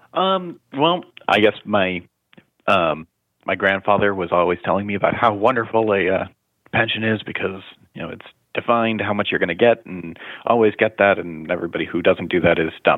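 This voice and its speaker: A man with a plain, everyday voice, fairly low in pitch, with ordinary pitch variation. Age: 20s. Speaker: state government employee, caller. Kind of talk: call-in question. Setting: phone call.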